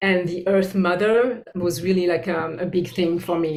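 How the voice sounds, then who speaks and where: With a French accent, a woman speaks at a moderate pace in a fairly low pitch and fairly even intonation, with audible room echo. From France. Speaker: bodyworker and spiritual teacher. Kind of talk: interview. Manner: halting.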